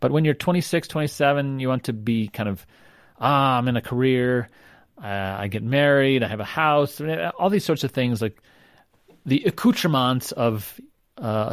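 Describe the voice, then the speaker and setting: A man's plain, everyday voice at medium pitch and moderate pace, with ordinary pitch variation, in a very clean recording with a silent background. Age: 50s. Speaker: sociology professor. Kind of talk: interview.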